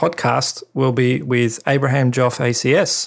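Speaking at a very slow pace, a man with an Australian accent keeps to a medium pitch. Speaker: podcast host and cinematographer. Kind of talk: casual monologue. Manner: hesitant, many fillers.

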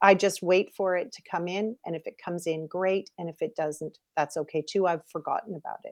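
A woman with a Canadian accent and a plain, everyday voice, medium in pitch, fairly quick with hardly any pauses, fairly even intonation, big swings in loudness, and a dry, close sound with no echo. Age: 50s. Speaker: model and coach. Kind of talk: interview.

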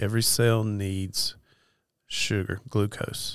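Very slow speech from a man with an Appalachian accent, fairly low pitch, and fairly even intonation, in a very clean recording with a silent background. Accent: Appalachian Southern US. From Western North Carolina. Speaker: nurse and diabetes educator. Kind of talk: interview.

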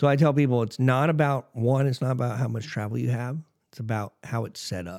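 A man speaks in an ordinary speaking voice at a fairly quick pace, medium in pitch with ordinary pitch variation. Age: 30s. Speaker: monster truck driver. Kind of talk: casual chat.

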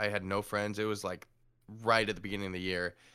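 A man with an American accent speaks in a fairly low pitch with a bright, sharp tone, on a very clean recording with a silent background. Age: 30s. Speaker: writer. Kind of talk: casual chat.

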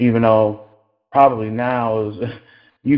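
Here a man speaks with an American accent. His pitch is medium. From US Midwest, Cleveland, Ohio. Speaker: musician. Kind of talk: interview.

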